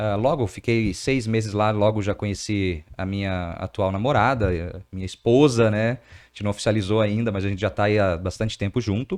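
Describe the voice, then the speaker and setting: Fairly low-pitched, a man talks at a moderate pace with fairly even intonation and hardly any pauses. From Brazil, outside Rio Grande do Sul (border city). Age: 30s. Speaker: entrepreneur. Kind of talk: podcast interview.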